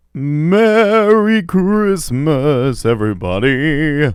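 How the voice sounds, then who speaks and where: Very slowly, the speaker delivers the words in a put-on character voice. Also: man, fairly high pitch for a man. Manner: jolly.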